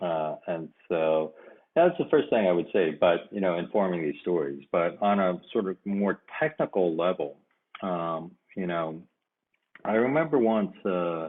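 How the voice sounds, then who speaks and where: Very deep, low pitch from a man with a Japanese accent, ordinary pitch variation and a fairly slow pace. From Japan and Korea, raised as US military/diplomatic kid. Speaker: fiction writer. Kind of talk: interview. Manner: halting, many fillers.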